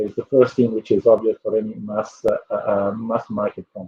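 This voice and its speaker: Moderate pace and ordinary pitch variation from a man with a somewhat breathy voice. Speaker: company executive. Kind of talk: panel presentation. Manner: hesitant, many fillers.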